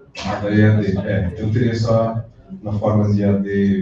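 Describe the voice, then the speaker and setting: The recording carries audible room echo. Background noise is noticeable too. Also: man. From southern Brazil, gaúcho. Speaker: college lecturer. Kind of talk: closing remarks at a lecture.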